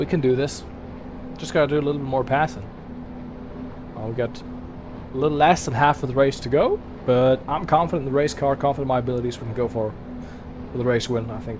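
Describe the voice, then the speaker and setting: A man's medium-pitched voice at a very fast pace, broken by long, frequent pauses, with ordinary pitch variation and noticeable background noise. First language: German. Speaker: sim racing streamer. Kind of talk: live gaming commentary. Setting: live stream. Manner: casual, animated.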